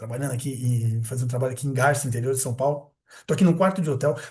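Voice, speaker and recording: A man's medium-pitched, somewhat breathy voice at a very fast pace. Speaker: spiritist study lecturer. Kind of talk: recorded lecture. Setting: hotel room, recorded video. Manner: animated.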